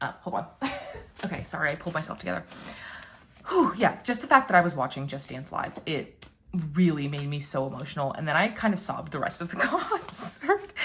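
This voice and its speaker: Pitch swings very widely in this woman's fairly low voice. She talks at a fairly quick pace. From Puerto Rican background. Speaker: YouTuber, K-pop fan. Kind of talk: casual vlog chat.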